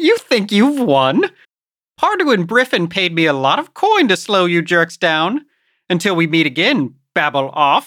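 A put-on character voice sits at a middle pitch. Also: moderate pace, very clean recording, silent background. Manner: pompous, mocking.

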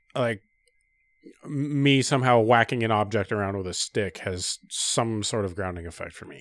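An unremarkable speaking voice, a man's, comes at a medium pitch and a moderate pace with ordinary pitch variation and big swings in loudness. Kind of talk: casual banter.

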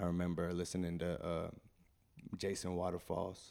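A man with an American accent and a very deep, low pitch talks at a moderate pace in a very clean recording with a silent background. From Chicago. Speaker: rapper. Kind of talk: casual interview chat.

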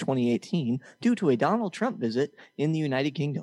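An unremarkable speaking voice from a man, fairly high in pitch, at a moderate pace with lively intonation. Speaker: podcast co-host and game show host. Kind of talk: mock game show hosting, reading trivia clues and announcing scores. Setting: studio. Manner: teasing, jokey.

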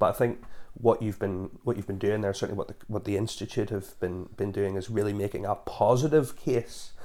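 A man with a fairly low pitch talks in a Northern Irish accent. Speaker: podcast host and church officer. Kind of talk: casual podcast conversation.

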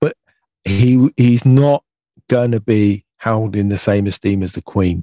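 A man with an English accent talks at a fairly slow pace in a dark, mellow tone, his fairly low voice showing ordinary pitch variation, the sound dry and close with no echo. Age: 50s. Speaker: UK correspondent. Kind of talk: casual chat.

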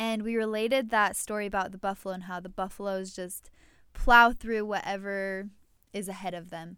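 Over a silent background in a very clean recording, a woman with a medium pitch and a bright, sharp tone talks at a moderate pace, her intonation monotone and flat but her loudness swinging widely. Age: 20s. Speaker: baker and podcast co-host. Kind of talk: casual chat.

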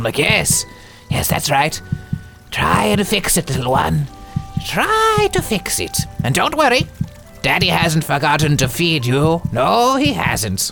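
Over clear music in the background, a man does a put-on character voice at a fairly slow pace. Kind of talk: comic overacting. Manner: doting, cooing to a tiny heart.

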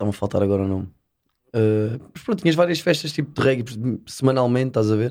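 At a very fast pace, a man of medium pitch speaks with lively intonation on a very clean recording with a silent background. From Portugal, Setúbal peninsula (Azeitão). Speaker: reggae and dancehall singer. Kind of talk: casual interview chat.

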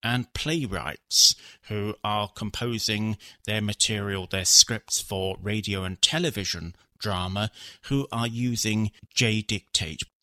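In a southern English accent, a man with a fairly low pitch and a bright, sharp tone speaks at a very slow pace, recorded very cleanly with a silent background and a dry, close sound with no echo. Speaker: assistive technology developer. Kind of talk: interview.

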